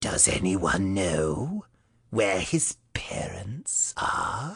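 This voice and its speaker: A man performs a put-on character voice at a fairly low pitch. He speaks very slowly and quietly. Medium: read story. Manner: mocking, falsely gentle.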